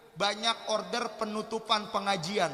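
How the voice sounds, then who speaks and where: Raised and projected, a man's high-pitched voice moves at a fairly slow pace amid audible room echo and noticeable background noise. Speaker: Islamic preacher. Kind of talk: sermon. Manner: not shouting, subdued delivery.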